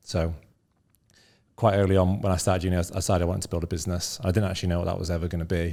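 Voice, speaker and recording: In a northern English accent, a man speaks with a very deep, low pitch and a dark, mellow tone. His intonation is monotone and flat, on a very clean recording with a silent background. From northern England, Scunthorpe. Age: 30s. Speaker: entrepreneur. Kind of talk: interview.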